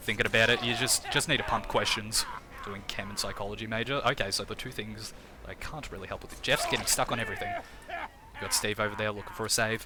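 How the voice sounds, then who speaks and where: Over noticeable background noise, a man with an Australian accent talks at a very fast pace. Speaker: game streamer and commentator. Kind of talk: live game commentary with chat reading. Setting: live stream. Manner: casual, repetitive filler words.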